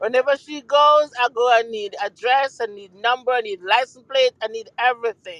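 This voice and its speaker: With a Jamaican accent, a woman speaks at a moderate pace in a high voice, her intonation fairly even but her loudness swinging widely, in a dry, close sound with no echo. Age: 60s. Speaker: mother of a guest. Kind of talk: casual chat. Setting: online audio room.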